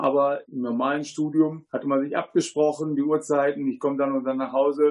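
A man with a normal speaking voice, fairly high in pitch, with fairly even intonation. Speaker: agricultural engineer and parent. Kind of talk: studio talk show interview. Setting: studio.

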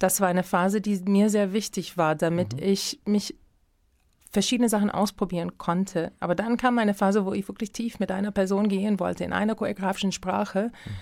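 A woman talks fairly quickly with fairly even intonation and a medium pitch. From US Midwest, Minneapolis. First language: English (speaking German). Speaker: dance director and choreographer. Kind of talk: interview. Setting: radio studio. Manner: halting, with many fillers.

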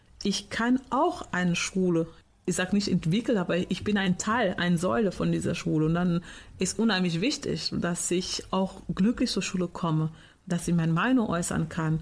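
A woman's somewhat breathy, medium-pitched voice at a moderate pace, with ordinary pitch variation, very even loudness, and a very clean recording over a silent background. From Portugal. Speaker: teacher. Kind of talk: interview.

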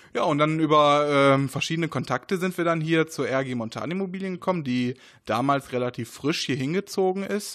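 Over a quiet background, a man talks with a fairly high pitch. His pitch variation is ordinary. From Ruhr area, Germany (Essen). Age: 20s. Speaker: race organizer and chemistry researcher. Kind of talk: interview. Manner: hesitant, many fillers.

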